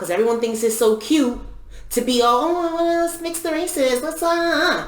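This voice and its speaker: Lively intonation comes through alongside audible room echo and noticeable background noise. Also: woman, high pitch for a woman, moderate pace. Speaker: podcast co-host. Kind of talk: casual chat.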